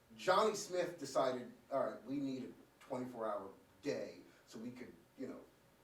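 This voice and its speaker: A man's voice shows big swings in loudness, with audible room echo. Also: moderate pace. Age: 30s. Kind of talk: casual chat.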